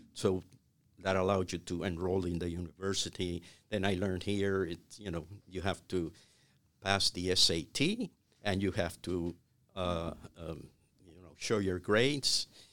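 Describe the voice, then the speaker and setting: In a Cuban accent, a man with a very deep, low pitch speaks at a moderate pace, with fairly even intonation and big swings in loudness. Long, frequent pauses break up his speech on a very clean recording with a silent background. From Cuba (Havana). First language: Spanish. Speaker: retired business executive. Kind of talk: interview. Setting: studio. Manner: halting.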